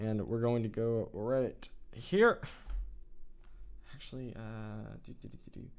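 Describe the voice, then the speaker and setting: Fairly slow, medium-pitched speech from a man, with ordinary pitch variation in audible room echo. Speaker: video editing tutorial creator. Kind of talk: tutorial. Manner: halting, filler-heavy; casual, thinking aloud.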